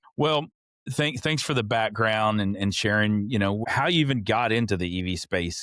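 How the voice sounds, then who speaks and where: A man talks with a Texas accent. The recording is very clean, the background silent. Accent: Texas Southern. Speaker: podcast host. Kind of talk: podcast interview.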